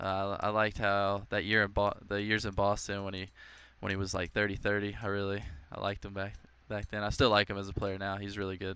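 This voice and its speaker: This man talks very fast in a fairly low voice with a bright, sharp tone. His intonation is monotone and flat. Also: very clean recording, silent background. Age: 20s. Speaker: professional baseball player. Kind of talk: interview. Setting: ballpark. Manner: halting.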